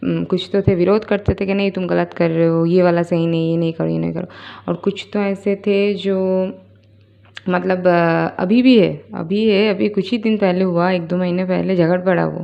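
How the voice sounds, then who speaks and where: A woman with a non-native accent speaks at a moderate pace, her medium pitch held in fairly even intonation. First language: not Hindi (speaking Hindi). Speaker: spiritual YouTuber. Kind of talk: casual spoken monologue. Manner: hesitant, many fillers.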